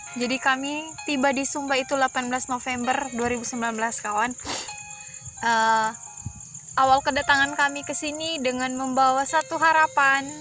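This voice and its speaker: With music in the background, a woman uses a raised, projected voice at a high pitch, talking fairly quickly with fairly even intonation. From Poso, Central Sulawesi. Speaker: missionary worker. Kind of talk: casual storytelling chat.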